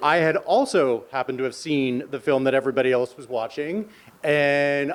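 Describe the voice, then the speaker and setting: A man speaks with a fairly high pitch and ordinary pitch variation. Noticeable background noise is present. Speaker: friend giving birthday speech. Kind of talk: birthday speech. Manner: spontaneous, unscripted.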